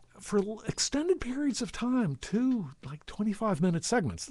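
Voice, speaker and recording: The background stays quiet while a man talks. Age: 60s. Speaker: video blogger. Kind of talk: casual monologue to camera. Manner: halting, many false starts; fast.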